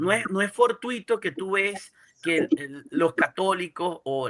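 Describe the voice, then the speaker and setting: Here a man talks at a very slow pace in a high pitch. The sound is dry and close, with no echo. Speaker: podcast host. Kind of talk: interview conversation.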